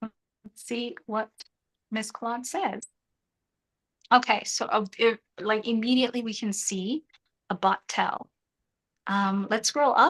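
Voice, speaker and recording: A woman with a fairly high pitch speaks at a fairly slow pace with ordinary pitch variation and long, frequent pauses, the sound dry and close with no echo. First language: not English. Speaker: freelancing coach. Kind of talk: live group tutorial.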